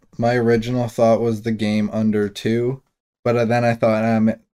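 The voice has a dark, mellow tone and moves at a fairly slow pace. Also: man. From Canada, Toronto. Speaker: sports betting podcast co-host. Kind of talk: casual chat.

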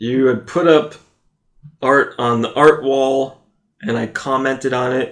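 In an American accent, a man with a medium pitch speaks at a fairly slow pace with fairly even intonation and long, frequent pauses. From US East Coast. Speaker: podcast co-host. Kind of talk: casual chat.

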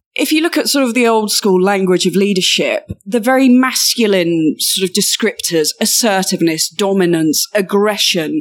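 A woman with a British accent speaks at a moderate pace with lively intonation. She hardly pauses, and her loudness stays very even. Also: medium pitch for a woman. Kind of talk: interview.

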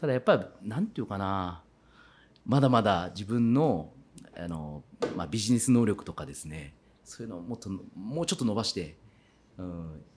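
A man speaks at a moderate pace and a fairly low pitch, with long, frequent pauses. His loudness swings widely. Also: lively intonation. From Kitakyushu, Fukuoka, Japan. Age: 40s. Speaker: farmer. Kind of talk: interview. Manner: animated.

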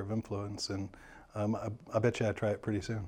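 A man talks at a fairly quick pace in a Midwestern American accent, his pitch fairly low. His tone is dark and mellow, and the background is quiet. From US Midwest, St. Louis, Missouri. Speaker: realtor. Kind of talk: casual interview. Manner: hesitant, many fillers.

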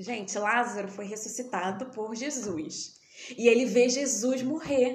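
Speaking slowly, a fairly high-pitched woman shows big swings in loudness. Noticeable background noise and audible room echo are present. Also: ordinary pitch variation. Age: 20s. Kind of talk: casual chat.

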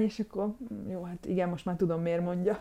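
A woman talks at a very fast pace in a fairly low voice with a dark, mellow tone. Her intonation is fairly even. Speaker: retired pro triathlete and veterinarian. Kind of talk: casual interview.

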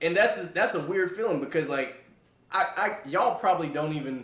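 Noticeable background noise runs behind a man speaking with an American accent. He keeps a moderate pace while his pitch swings very widely. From Fayetteville, North Carolina. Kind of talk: casual chat.

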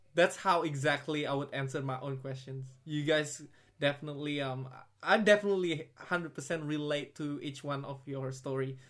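Speaking at a moderate pace, a man with an unremarkable speaking voice and fairly high pitch keeps a fairly even intonation while his loudness swings widely. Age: young. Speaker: podcast host. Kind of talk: casual chat.

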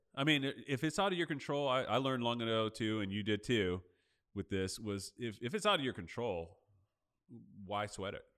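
A normal speaking voice from a man at a medium pitch and a fairly quick pace, with lively intonation. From Los Angeles. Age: 40s. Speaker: podcast host. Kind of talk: podcast interview; scripted intro.

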